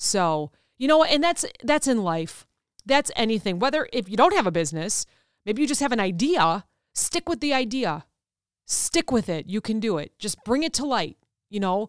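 In a very clean recording with a silent background and a dry, close sound without echo, a woman speaks loudly at a moderate pace, her fairly high voice animated and swinging very widely in pitch. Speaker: podcast host and author. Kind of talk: solo motivational talk. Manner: animated, loud.

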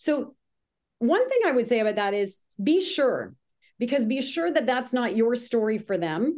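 Against a quiet background, a woman with a Canadian accent speaks at a high pitch, her loudness very even and her intonation lively. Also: moderate pace. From Ontario, Canada (Grimsby). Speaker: business consultant. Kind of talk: casual interview. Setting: call.

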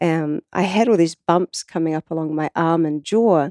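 This woman has a strong New Zealand accent and a dark, mellow tone, with ordinary pitch variation. She speaks fairly slowly against a quiet background. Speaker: water researcher and artist. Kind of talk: casual interview conversation. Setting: in person studio.

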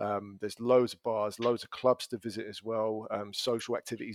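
In a London accent, the voice holds a monotone, flat intonation in a dry, close sound with no echo. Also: man. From London, England. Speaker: language school business development manager. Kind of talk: casual interview chat. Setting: podcast recording.

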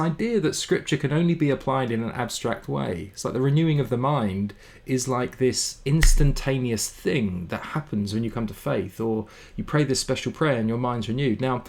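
A man with a British accent, medium pitch, ordinary pitch variation and a moderate pace. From England. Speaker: mental health ministry CEO. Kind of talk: interview conversation.

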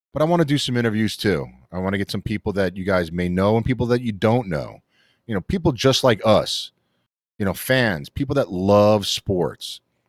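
A man's animated, fairly low voice in a New York accent, with lively intonation and a moderate pace, in a dry, close sound with no echo, on a very clean recording with a silent background. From New York City, Queens. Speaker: sports podcast host. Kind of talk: casual chat. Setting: studio.

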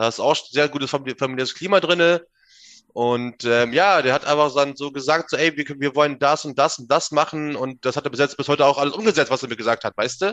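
The delivery moves at a very fast pace with ordinary pitch variation. Behind it, the background is quiet. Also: man. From northern Germany, Minden/Bückeburg area. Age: 20s. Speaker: bodybuilder, gym owner. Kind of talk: casual chat. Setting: remote call. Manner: animated, halting.

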